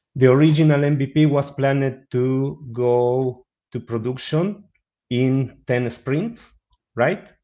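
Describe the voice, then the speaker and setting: A man talks with a Spanish accent. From Argentina. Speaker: business analyst. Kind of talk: webinar presentation and Q&A. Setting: online webinar. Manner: halting.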